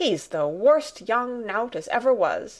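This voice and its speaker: A female-sounding voice puts on a raspy character voice. It is fairly high-pitched and moves at a fairly slow pace. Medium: read story. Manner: homely dialect.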